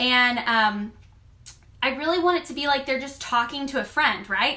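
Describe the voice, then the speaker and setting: A woman uses a raised, projected voice that is high-pitched, bright and sharp, with an animated tone, ordinary pitch variation and a moderate pace. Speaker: online clothing boutique stylist and seller. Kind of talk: live stream coaching talk. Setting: live video stream. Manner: loud.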